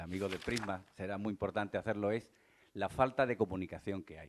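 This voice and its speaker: Ordinary pitch variation marks this man's speech. The background is quiet. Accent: Andalusian. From Cádiz, Andalusia. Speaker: mediator. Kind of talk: panel discussion.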